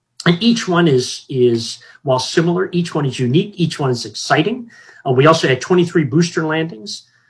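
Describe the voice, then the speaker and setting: A somewhat breathy man's voice carries lively intonation. He keeps to a moderate pace. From Hawaii. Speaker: federal space regulator, retired air force officer. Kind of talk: interview. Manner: halting.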